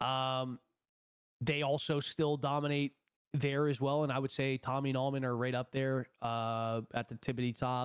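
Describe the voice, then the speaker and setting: A man with a normal speaking voice talks at a moderate pace and medium pitch, his intonation fairly even and the sound dry and close with no echo. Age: 20s. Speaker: streamer and esports player. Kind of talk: casual chat.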